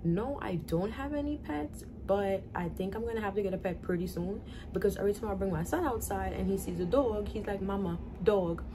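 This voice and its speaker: Amid audible room echo and noticeable background noise, a woman with a New York accent talks at a fairly quick pace. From US Northeast, New York (the Bronx). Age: 20s. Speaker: vlogger, young mother. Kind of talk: casual Q&A vlog. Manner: casual, conversational.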